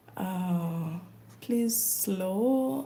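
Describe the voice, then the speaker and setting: Audible room echo accompanies lively intonation delivered in an East African accent. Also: woman. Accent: East African, mistaken for Kenyan by viewers. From Uganda. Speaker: crochet content creator. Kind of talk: casual live stream chat while crafting. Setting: livestream.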